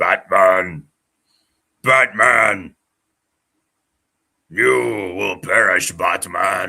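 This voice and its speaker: Putting on a raspy character voice, a man talks very slowly at a fairly low pitch, leaving long, frequent pauses. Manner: menacing.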